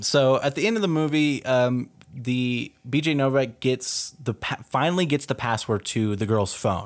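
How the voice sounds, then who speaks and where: A man with a Texas accent speaks at a moderate pace with hardly any pauses and very even loudness. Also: medium pitch for a man, ordinary pitch variation. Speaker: podcast host. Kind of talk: casual chat.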